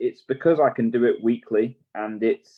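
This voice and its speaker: A man speaks with an English accent. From southern England. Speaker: racing driver. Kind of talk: casual interview chat.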